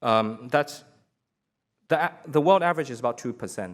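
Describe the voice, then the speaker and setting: Lively intonation marks this man's speech on a very clean recording with a silent background. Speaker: business executive. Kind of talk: panel presentation. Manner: fast.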